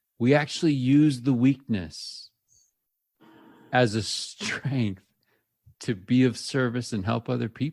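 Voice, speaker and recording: A man's medium-pitched voice at a very slow pace, with ordinary pitch variation and long, frequent pauses, over music in the background. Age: middle-aged. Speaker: podcast co-host. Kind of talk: casual chat.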